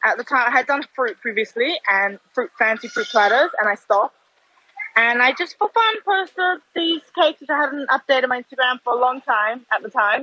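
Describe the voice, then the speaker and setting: A woman speaks in a high, raised, projected voice with lively intonation at a moderate pace, the sound dry and close with no echo. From Australia (Melbourne). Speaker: food business owner. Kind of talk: casual chat.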